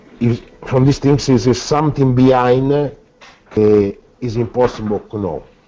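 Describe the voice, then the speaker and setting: Pausing long and often, a man with an Italian accent speaks at a medium pitch. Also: moderate pace. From Italy. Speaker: filmmaker and author. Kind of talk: interview. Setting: call. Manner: halting; animated.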